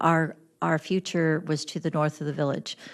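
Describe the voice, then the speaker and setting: Against a quiet background, a woman with a US Midwestern accent speaks at a moderate pace in a very deep, low pitch. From east-central Illinois. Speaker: village mayor. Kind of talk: public testimony at county board meeting. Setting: county board committee meeting. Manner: halting, many fillers and restarts; loud.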